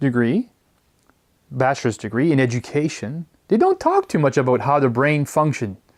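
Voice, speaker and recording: In a Quebec accent, the voice moves at a moderate pace with very wide pitch swings, in a very clean recording with a silent background. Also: man. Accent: French Canadian accent in English. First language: French. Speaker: educator. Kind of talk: lecture.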